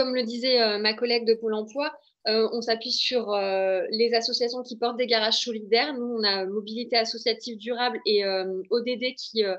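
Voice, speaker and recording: A woman speaks with fairly even intonation in a fairly high voice. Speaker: local mobility official. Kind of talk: webinar panel talk. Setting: online webinar. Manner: fast; hesitant, many fillers.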